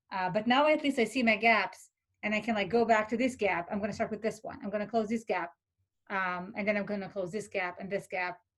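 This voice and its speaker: A woman with a non-native accent speaks at a fairly quick pace in a fairly high, somewhat breathy voice with ordinary pitch variation. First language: not English. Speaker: philosophy peer tutor. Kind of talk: workshop talk. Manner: hesitant, many fillers.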